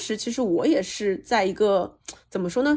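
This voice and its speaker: A fairly high-pitched woman's voice with lively intonation. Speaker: podcast host and marketing company founder. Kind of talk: casual interview chat. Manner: fiery, energetic.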